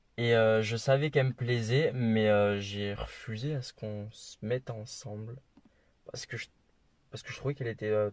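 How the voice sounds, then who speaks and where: A man's medium-pitched voice holds fairly even intonation at a moderate speed. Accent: slight Toulouse. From France, Toulouse. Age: 20s. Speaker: traveller. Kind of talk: interview.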